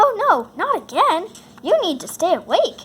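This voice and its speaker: A woman does a put-on character voice, squeaky and extremely high-pitched. She speaks in a raised, projected voice with very wide pitch swings. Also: moderate pace. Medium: read story. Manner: blunt, energetic.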